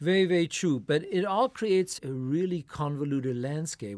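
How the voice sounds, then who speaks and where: A man with a plain, everyday voice talks at a moderate pace, his intonation lively, on a very clean recording with a silent background. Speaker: professor. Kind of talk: academic discussion. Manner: formal.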